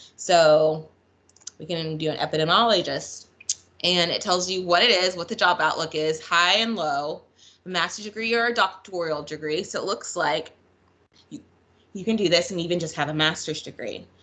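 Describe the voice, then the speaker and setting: This woman's voice sits fairly low in pitch. Her tone is bright and sharp. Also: ordinary pitch variation. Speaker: school counselor; presenter. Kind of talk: online presentation. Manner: fast. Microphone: video call.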